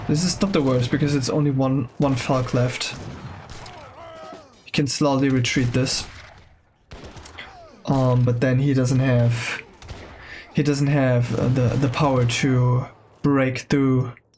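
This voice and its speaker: A man speaks at a very slow pace with long, frequent pauses, medium pitch and monotone, flat intonation. His loudness stays very even over noticeable background noise. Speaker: game caster. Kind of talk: live commentary. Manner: lowered voice, quieter.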